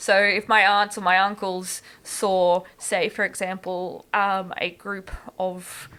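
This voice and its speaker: A woman with a rural Queensland accent speaks very slowly at medium pitch. Her tone is bright and sharp, her intonation flat and monotone. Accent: rural Queensland Australian. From far south west Queensland, Australia. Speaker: pre-service teacher and ESL tutor. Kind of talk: podcast interview answer.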